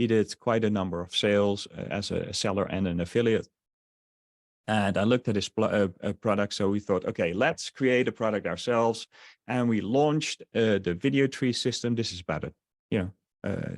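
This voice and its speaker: The speaker has a slight Dutch accent and ordinary pitch variation. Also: man, fairly low pitch for a man, moderate pace, dry, close sound with no echo. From Netherlands. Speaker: online marketer. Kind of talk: webinar sales presentation. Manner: halting, many fillers.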